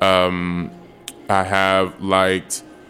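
A man with an American accent speaks in a very deep, low pitch with monotone, flat intonation. Noticeable background noise runs underneath. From Chicago. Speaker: nonprofit executive director. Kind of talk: casual interview.

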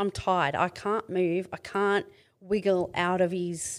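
In an Australian accent, a woman talks at a fairly slow pace with a medium pitch and a monotone, flat delivery, on a very clean recording with a silent background. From Australia, Mid-North Coast of New South Wales. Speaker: domestic violence survivor and author. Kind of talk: testimony.

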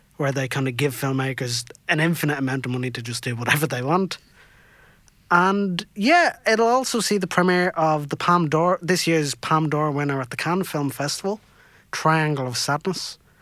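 A man with a Dublin accent speaks at a fairly high pitch in a bright, sharp tone, his pitch varying in an ordinary way. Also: moderate pace. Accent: Irish (Dublin). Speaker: podcast co-host. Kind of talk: casual banter on radio. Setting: studio.

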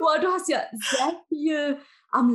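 This woman's somewhat breathy voice moves through very wide pitch swings. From Germany. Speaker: guest podcast host. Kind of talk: casual interview.

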